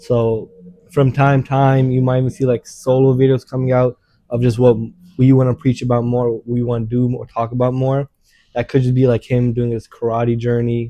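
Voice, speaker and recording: Mumbling at a moderate pace, a man with a medium pitch and a dark, mellow tone speaks in a monotone, flat intonation, in a dry, close sound with no echo. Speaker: YouTuber. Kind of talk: casual chat.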